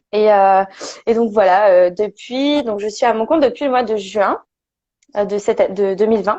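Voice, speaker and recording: A woman talks at a fairly slow pace with long, frequent pauses. Her voice is fairly high, dark and mellow, with ordinary pitch variation. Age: 20s. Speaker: perinatal and parenting support worker, former nurse. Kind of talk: interview testimony. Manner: halting, many fillers.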